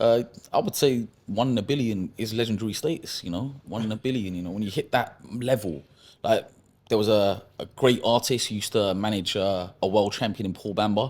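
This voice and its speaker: This man has a London accent and a fairly low pitch. His pace is fairly quick. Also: ordinary pitch variation. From London, Acton, West London. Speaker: professional boxer. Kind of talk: casual podcast interview.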